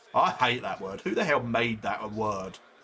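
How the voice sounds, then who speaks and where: A man speaks in a bright, sharp tone with vocal fry. The recording is very clean with a silent background. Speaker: sim racing streamer. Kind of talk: live stream commentary. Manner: casual, rambling chatter.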